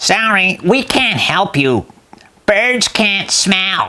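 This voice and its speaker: A female-sounding put-on character voice at a medium pitch for a woman, delivered at a very slow pace. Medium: read story.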